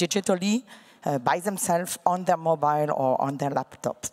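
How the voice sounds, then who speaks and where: A woman speaks at a moderate pace with a French accent, her voice medium-pitched with ordinary pitch variation. The background is quiet. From France. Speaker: digital bank chief executive; panelist. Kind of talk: panel discussion. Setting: stage with audience. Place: stage. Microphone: handheld.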